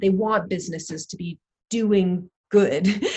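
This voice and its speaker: Somewhat breathy, a woman keeps a medium pitch and fairly even intonation. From Canada, Toronto. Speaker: social entrepreneur, business school fellow. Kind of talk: interview conversation.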